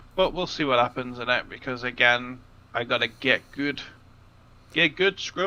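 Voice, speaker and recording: A man with an English accent talks at a moderate pace, with long, frequent pauses and a bright, sharp tone. His pitch is medium with ordinary variation, and the background is quiet. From England. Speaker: card game commentator. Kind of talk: live commentary. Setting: livestream.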